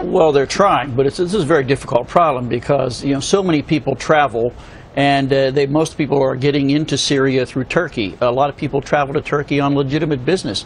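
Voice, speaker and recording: Delivered at a very fast pace with hardly any pauses, the speech keeps a very even loudness. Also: man, fairly high pitch for a man, ordinary pitch variation. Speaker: retired military officer, military analyst. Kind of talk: TV news interview answer.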